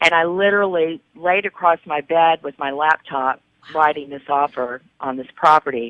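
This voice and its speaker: A woman speaks in a very deep, low pitch with ordinary pitch variation. She keeps a moderate pace, and her loudness swings widely. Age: 60s. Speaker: realtor and patient. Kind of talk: personal testimony in interview.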